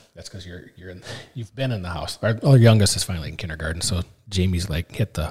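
With an Upper Midwest accent, a man speaks in a very deep, low pitch at a fairly quick pace, his loudness swinging widely. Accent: Upper Midwest American. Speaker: farmer. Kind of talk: casual chat. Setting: on location.

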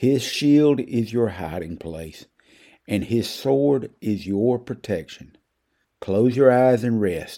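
In a Southern US accent, a man speaks at a very slow pace with lively intonation and a dark, mellow, soothing, gentle tone. The recording is very clean, with a silent background. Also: medium pitch for a man. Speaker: preacher. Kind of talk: devotional reading, guided meditation prayer. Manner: slow, soothing, gentle; earnest, pastoral.

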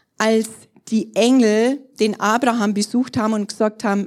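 A woman's ordinary speaking voice, fairly high in pitch, at a fairly slow pace. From Bavaria, Germany (Trostberg). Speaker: pastor. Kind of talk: sermon.

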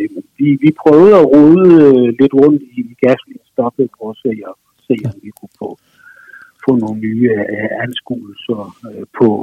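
Speaking at a fairly slow pace with long, frequent pauses, a man at medium pitch uses lively intonation and big swings in loudness. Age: 50s. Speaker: musician and author. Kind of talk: phone interview. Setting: phone call. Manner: hesitant, many fillers.

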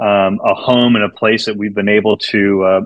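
A man with an American accent has a fairly low pitch, a fairly bright tone and fairly even intonation.

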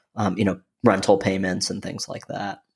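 With an American accent, a man speaks at a moderate pace in an unremarkable speaking voice, his pitch fairly low, on a very clean recording with a silent background. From Michigan. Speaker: real estate private equity investor. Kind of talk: casual interview conversation.

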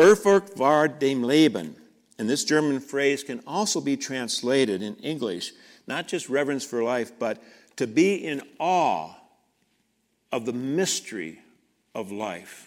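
A man's medium-pitched voice with very wide pitch swings at a fairly slow pace, on a very clean recording with a silent background. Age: 70s. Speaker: pastor. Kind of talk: sermon. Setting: church.

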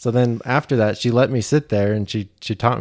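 On a very clean recording with a silent background, a man with a Utah accent talks at a fairly quick pace in a fairly low, dark, mellow voice with fairly even intonation. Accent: American, Utah. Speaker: freelance animator and graphic designer. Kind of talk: interview.

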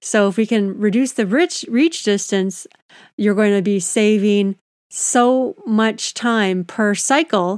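A woman with an ordinary speaking voice talks at a fairly slow pace, her medium pitch showing ordinary variation. The sound is dry and close with no echo, on a very clean recording with a silent background. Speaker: ergonomics consultant and podcast host. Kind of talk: solo educational podcast monologue.

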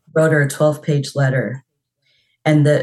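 A woman's very deep, low voice, somewhat breathy and dark and mellow in tone, with fairly even intonation at a moderate pace. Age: 40s. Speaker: mental health worker. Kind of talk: counseling session.

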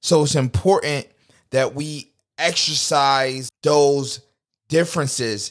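A man speaks at a fairly high pitch with ordinary pitch variation, leaving long, frequent pauses, on a very clean recording with a silent background. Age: 20s. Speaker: podcast host. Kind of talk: casual monologue.

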